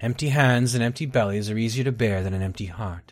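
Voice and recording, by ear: The pitch moves in an ordinary way. The voice is reading aloud in a natural voice.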